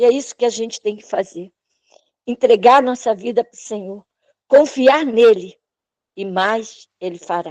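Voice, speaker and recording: A woman at a fairly slow pace with ordinary pitch variation, in a dry, close sound with no echo. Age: 60s. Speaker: church member giving testimony. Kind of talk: testimony. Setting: online church service, live video call.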